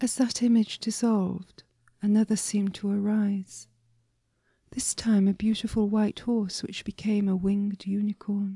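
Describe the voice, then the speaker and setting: A woman speaks at a medium pitch with flat, monotone intonation. Her tone is dark and mellow, and somewhat breathy. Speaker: story writer and reader. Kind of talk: sleep story. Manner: soft-spoken, whispering.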